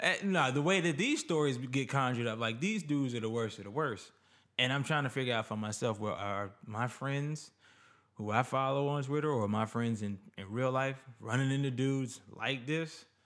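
This man has a normal speaking voice, with medium pitch, ordinary pitch variation and a moderate pace. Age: 20s. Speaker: podcast guest. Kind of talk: casual chat.

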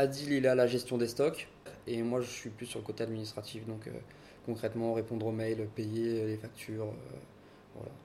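A man at a medium pitch and moderate pace, with fairly even intonation and long, frequent pauses. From Paris, France. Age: 20s. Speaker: restaurant co-owner. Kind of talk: interview.

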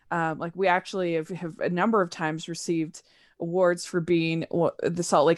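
In an American accent, a woman speaks at a fairly low pitch and fairly quick pace with monotone, flat intonation on a very clean recording with a silent background. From Utah, US. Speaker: podcaster. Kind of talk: casual chat. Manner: halting, many fillers and repeats.

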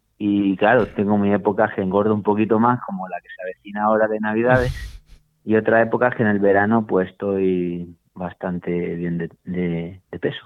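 A man speaks in a normal speaking voice at a moderate pace, his pitch fairly low with fairly even intonation. His loudness swings widely. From Málaga, Andalusia, Spain. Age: 40s. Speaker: master cyclist, PE teacher. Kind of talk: interview.

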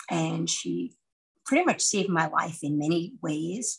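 A woman speaks at a very slow pace. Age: 60s. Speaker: podcast co-host. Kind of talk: casual chat. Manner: animated.

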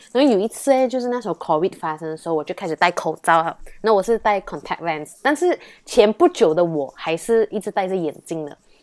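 In an ordinary speaking voice, a woman talks with medium pitch and lively intonation. The recording is very clean, with a silent background and a dry, close sound with no echo. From Malaysia. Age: 20s. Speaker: university student. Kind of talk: casual interview chat.

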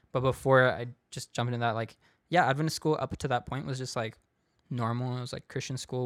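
On a very clean recording with a silent background, a man with a West Coast US accent talks at a medium pitch in a monotone, flat intonation. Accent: General American, West Coast. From US West Coast, San Diego. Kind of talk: casual testimony.

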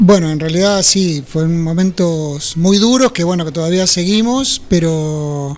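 The speaker goes at a fairly slow pace with ordinary pitch variation and hardly any pauses, over noticeable background noise. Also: man, high pitch for a man. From Buenos Aires province, Argentina (French, Nueve de Julio). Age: 60s. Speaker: former football player. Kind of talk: radio interview.

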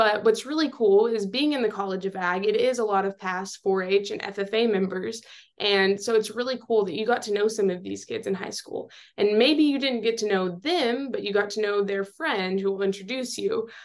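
A woman speaks with a Texan accent in a fairly high pitch. Her pace is moderate and her pitch variation ordinary. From West Texas. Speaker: student leader. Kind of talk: interview.

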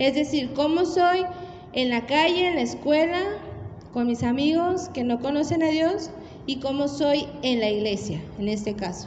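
A high-pitched woman speaks at a fairly slow pace, with audible room echo and noticeable background noise. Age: 30s. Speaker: preacher. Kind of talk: sermon.

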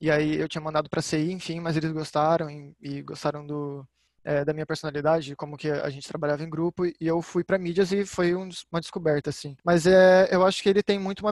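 A man with an ordinary speaking voice talks at a fairly quick pace and fairly high pitch, with fairly even intonation and a dry, close sound with no echo. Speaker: public relations student, social media. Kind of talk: casual chat.

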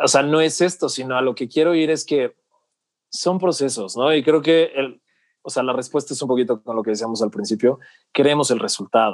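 With an ordinary speaking voice, a man talks at a fairly quick pace, his pitch fairly high with ordinary variation, in a dry, close recording with no echo and a quiet background. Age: 30s. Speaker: personal development coach. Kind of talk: casual interview chat.

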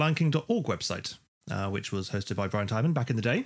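A man with a British accent speaks at a fairly quick pace, medium pitch and lively intonation, on a very clean recording with a silent background. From UK. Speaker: podcast co-host. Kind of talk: casual chat.

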